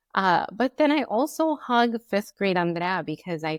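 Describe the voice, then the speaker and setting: Speaking very slowly, a woman shows ordinary pitch variation. The sound is dry and close with no echo, in a very clean recording with a silent background. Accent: Spanish. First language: Spanish. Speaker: podcast co-host. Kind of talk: casual chat.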